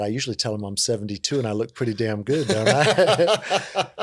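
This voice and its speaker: A man speaks at a fairly quick pace with an American accent, using an unremarkable speaking voice at a fairly low pitch. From coastal Virginia (Hampton). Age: 50s. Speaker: community outreach worker. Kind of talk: interview. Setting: studio discussion table. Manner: relaxed, conversational with fillers.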